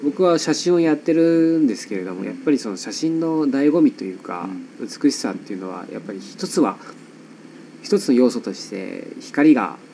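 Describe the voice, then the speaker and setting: Noticeable background noise sits behind a man's fairly high-pitched voice. His loudness swings a lot. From Nagasaki, Japan. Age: 30s. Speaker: photographer. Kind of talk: casual interview chat. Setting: home studio in an old house.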